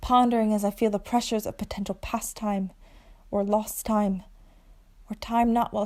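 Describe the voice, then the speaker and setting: This woman has a dark, mellow tone and a fairly high pitch. Her pace is moderate. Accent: American. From Long Island, New York. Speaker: actor. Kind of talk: spoken word poetry. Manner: child-like, playful.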